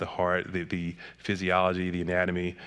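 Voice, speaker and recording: A man with an American accent talks at a fairly quick pace in a very deep, low voice. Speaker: psychiatrist and author. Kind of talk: interview conversation. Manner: fast.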